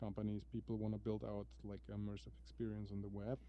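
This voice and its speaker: A man talks at a moderate pace. He speaks with a non-native accent. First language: not English. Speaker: XR developer. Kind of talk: casual chat. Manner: halting.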